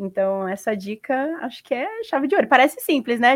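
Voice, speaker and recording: Heard on a very clean recording with a silent background, a woman speaks at a moderate pace in a high voice with lively intonation. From Brazil. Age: 20s. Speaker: sales representative. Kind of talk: casual chat.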